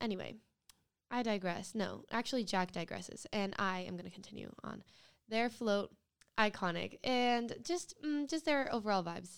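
A woman with a normal speaking voice talks at a moderate pace, her medium pitch carried by lively intonation. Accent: American. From US Northeast, Rhode Island. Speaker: podcast co-host. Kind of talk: casual chat.

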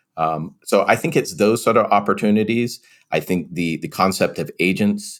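A man with an American accent, fairly even intonation and a fairly quick pace, in a very clean recording with a silent background. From England. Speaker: corporate information security executive. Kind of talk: interview.

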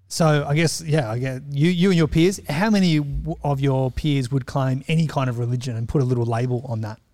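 With an Australian accent, a man at a medium pitch speaks at a moderate pace in a dark, mellow tone, with ordinary pitch variation. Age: 40s. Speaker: church member. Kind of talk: casual chat.

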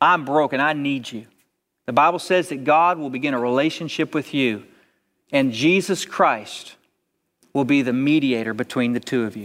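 A man with a normal speaking voice talks at a moderate pace, with a fairly high pitch and ordinary pitch variation, on a very clean recording with a silent background. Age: 40s. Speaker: pastor. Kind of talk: sermon. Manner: repeats words, conversational.

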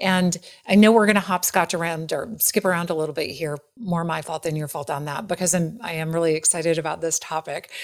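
A woman with an American accent talks at a very fast pace with a fairly low pitch. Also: fairly even intonation. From US Midwest, Wisconsin. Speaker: podcast host, leadership coach. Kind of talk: interview conversation.

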